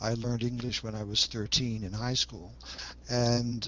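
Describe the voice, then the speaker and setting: A man speaks with a Dutch accent. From Netherlands. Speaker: Jungian analyst and author. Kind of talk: interview. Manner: hesitant with fillers.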